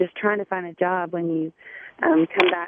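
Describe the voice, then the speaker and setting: A woman speaks with a Southern US accent. Her pitch is fairly low. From South Carolina. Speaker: single mom, Army National Guard veteran.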